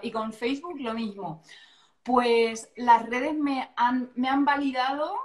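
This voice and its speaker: A woman speaks in a La Mancha accent at a high pitch with ordinary pitch variation. Her pace is very slow. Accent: Manchego Spanish. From Castilla-La Mancha, Albacete. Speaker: astrologer. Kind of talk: casual interview chat. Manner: animated.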